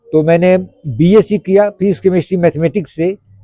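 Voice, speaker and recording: Dry and close with no echo, a man's high-pitched voice carries a dark, mellow tone and ordinary pitch variation. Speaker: retired air force veteran. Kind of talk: interview answer.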